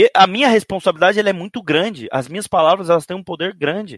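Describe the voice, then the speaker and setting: The delivery is fairly quick. No echo colors the dry, close sound. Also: man. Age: 30s. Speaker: esports coach. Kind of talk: interview. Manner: halting, many repetitions.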